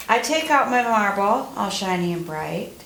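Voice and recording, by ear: The speaker reads aloud in a natural voice. The intonation is lively.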